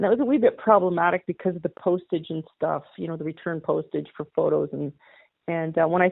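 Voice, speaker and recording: A woman's normal speaking voice at a fairly low pitch, fairly quick in pace, with ordinary pitch variation and big swings in loudness. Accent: Canadian. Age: 60s. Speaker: model horse hobbyist and artist. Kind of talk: interview.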